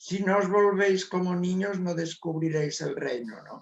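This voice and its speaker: A man with a high pitch talks at a fairly slow pace, his intonation fairly even. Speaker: spiritual author. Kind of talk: interview.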